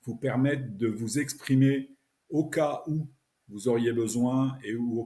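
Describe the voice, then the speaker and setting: Fairly even intonation runs through the speech. Its tone is dark and mellow. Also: man. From France. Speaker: French language teacher podcaster. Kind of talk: podcast introduction. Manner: casual, natural spoken French.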